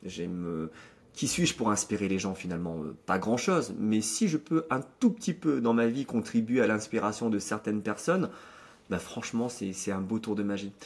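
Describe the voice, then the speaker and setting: With a plain, everyday voice, a man speaks at a moderate pace in a fairly low pitch, his intonation lively. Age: 30s. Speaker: magician and speaker. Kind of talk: interview.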